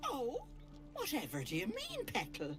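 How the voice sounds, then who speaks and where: A put-on character voice at a moderate pace over loud music in the background. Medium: video game. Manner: doting, chatty, folksy endearments.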